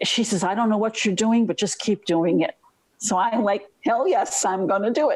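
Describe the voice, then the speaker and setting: A woman with an unremarkable speaking voice, fairly high in pitch, at a moderate pace with ordinary pitch variation and very even loudness. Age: 60s. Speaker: webinar participant. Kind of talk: personal sharing.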